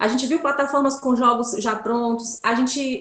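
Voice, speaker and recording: A woman is speaking. Her pace is moderate. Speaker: pedagogy student workshop presenter. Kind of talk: tutorial.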